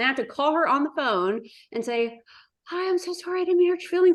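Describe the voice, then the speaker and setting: A woman speaks loudly in an animated tone. The background is quiet. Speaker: business co-founder. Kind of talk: podcast interview.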